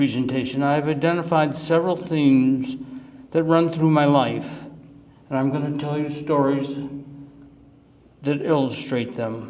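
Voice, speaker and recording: Speech in an American accent, with ordinary pitch variation and long, frequent pauses, comes through noticeable background noise and audible room echo. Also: man. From US Midwest, Cleveland, Ohio. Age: 70s. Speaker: retiree giving life-story talk. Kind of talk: presentation to audience. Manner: emotional, halting.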